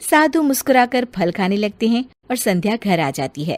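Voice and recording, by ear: With big pitch swings around a medium pitch, a woman speaks at a moderate pace.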